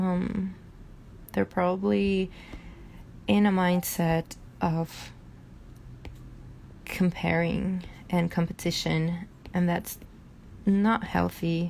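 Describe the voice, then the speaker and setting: Somewhat breathy and fairly low in pitch, a woman speaks at a very slow pace with fairly even intonation, very even loudness and long, frequent pauses. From Brazil. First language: Portuguese. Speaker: artist and hypnotherapist. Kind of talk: casual live stream chat. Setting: live stream. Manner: halting, many fillers.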